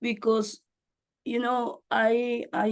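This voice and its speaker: A woman speaks in a Spanish accent. Her pitch sits fairly high. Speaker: community advocate. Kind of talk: meeting discussion.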